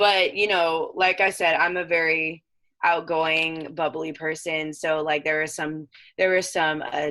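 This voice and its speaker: A woman speaks loudly and fairly slowly, her fairly low pitch carrying a bright, sharp tone. The background is quiet. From Southern California. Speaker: professional softball player. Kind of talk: casual interview chat. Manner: energetic.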